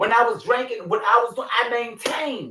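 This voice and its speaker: A man's raised, projected voice, extremely high in pitch and bright and sharp in tone, with ordinary pitch variation. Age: 60s. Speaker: youth mentor. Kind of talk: casual interview chat.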